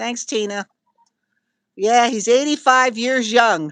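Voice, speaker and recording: Someone speaks at a very slow pace with a New Jersey accent. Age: old. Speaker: retired visitor reading livestream chat. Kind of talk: casual chat on a livestream.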